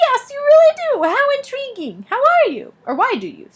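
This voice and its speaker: A squeaky, put-on character voice. It moves at a moderate pace. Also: woman, extremely high pitch for a woman. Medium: read story. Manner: fussy, prim, condescending.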